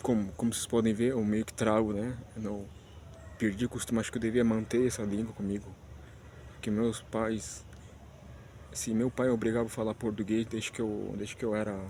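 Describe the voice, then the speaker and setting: Medium-pitched male voice with a dark, mellow tone, monotone and flat, fairly quick yet broken by long, frequent pauses. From Spanish-speaking country, not Brazil. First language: Spanish (speaking Portuguese). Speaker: vlogger. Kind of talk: casual vlog monologue. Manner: halting, many restarts and fillers.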